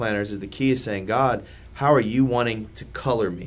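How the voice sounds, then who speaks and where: The speaker has an American accent and vocal fry, with ordinary pitch variation. Audible room echo can be heard. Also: man. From downtown Indianapolis, Indiana. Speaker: church planter. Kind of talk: casual chat.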